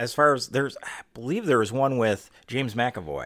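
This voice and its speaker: A man with vocal fry, moderate pace and ordinary pitch variation, on a very clean recording with a silent background. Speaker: podcast host. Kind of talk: casual chat.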